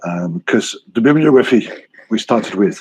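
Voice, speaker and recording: With a French accent, a man talks in a medium pitch. He keeps a moderate pace. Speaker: aquarium researcher. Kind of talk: conference presentation. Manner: halting, many fillers.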